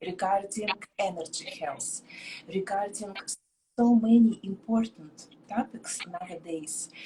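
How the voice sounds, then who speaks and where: With music in the background, a woman with a non-native accent speaks at a very slow pace. Her pitch is medium and her intonation fairly even. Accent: foreign accent, described as cute. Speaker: psychic and tarot reader. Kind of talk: live interview. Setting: live video stream.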